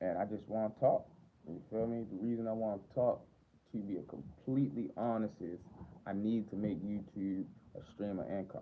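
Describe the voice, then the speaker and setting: The man's voice sits fairly low and shows ordinary pitch variation. He keeps a moderate pace. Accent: Baltimore. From Baltimore, Maryland, US. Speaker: livestreamer. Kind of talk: casual livestream chat.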